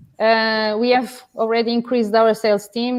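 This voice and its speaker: This is a woman speaking with a Portuguese accent. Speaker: business owner, distributor. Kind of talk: interview. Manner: hesitant, many fillers.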